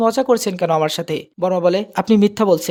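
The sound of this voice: Pitch varies in an ordinary way as an unforced reading voice goes on.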